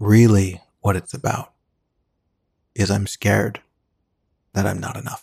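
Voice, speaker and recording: Vocal fry runs through a monotone, flat delivery at a fairly slow pace. Long, frequent pauses break up the dry, close sound with no echo. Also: man, fairly low pitch for a man. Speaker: meditation teacher. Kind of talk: guided meditation. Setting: live video broadcast.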